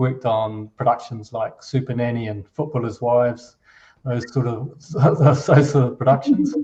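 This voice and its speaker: A man with a dark, mellow tone and a somewhat breathy quality talks at medium pitch, keeping a moderate pace and fairly even intonation. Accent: New Zealand. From New Zealand. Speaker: finance executive, company co-founder. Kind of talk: interview conversation. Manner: hesitant, many repetitions and fillers.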